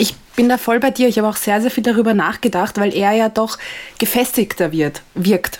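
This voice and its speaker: A fairly high-pitched woman in an Austrian accent at a moderate pace. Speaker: Formula 1 podcaster. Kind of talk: casual chat. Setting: video call.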